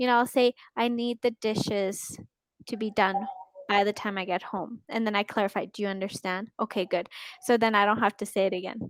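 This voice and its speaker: A woman with a Canadian accent speaks at a medium pitch in a monotone, flat way. The sound is dry and close, with no echo. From Canada. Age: 20s. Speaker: online English tutor. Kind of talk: casual chat. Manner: slow; clearly enunciated.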